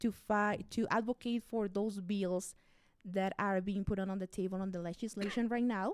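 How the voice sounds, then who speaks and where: Speaking at a moderate pace with a Mexican accent, a woman keeps her intonation monotone and flat. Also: medium pitch for a woman. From Mexico, Chihuahua. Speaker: radio host and immigration activist. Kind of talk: interview conversation. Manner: halting.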